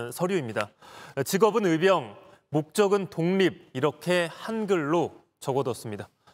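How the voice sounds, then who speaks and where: A high-pitched man with lively intonation, on a very clean recording with a silent background. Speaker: news reporter. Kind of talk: news report.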